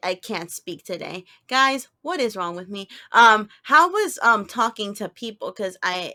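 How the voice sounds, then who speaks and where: A woman's fairly high, bright, sharp voice at a fairly slow pace, with lively intonation and big swings in loudness, on a very clean recording with a silent background. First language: Spanish. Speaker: podcast co-host; teacher. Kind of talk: casual chat.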